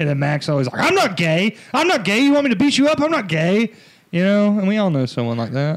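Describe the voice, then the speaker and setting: The speaker talks at a very fast pace in an American accent, with very wide pitch swings. Their loudness stays very even throughout. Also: man, high pitch for a man. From US South. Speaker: comedian. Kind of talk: casual chat.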